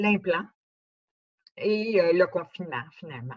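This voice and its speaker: Recorded dry and close with no echo, a woman speaks in a somewhat breathy voice at a medium pitch with ordinary pitch variation. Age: 70s. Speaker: speaker with cochlear implant. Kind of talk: testimony. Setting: conference talk.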